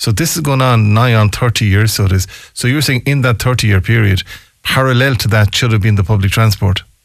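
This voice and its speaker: Speaking at a fairly quick pace with a western Irish accent, a man at a medium pitch uses ordinary pitch variation and very even loudness. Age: 60s. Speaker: local radio talk show host. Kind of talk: radio talk show. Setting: radio studio.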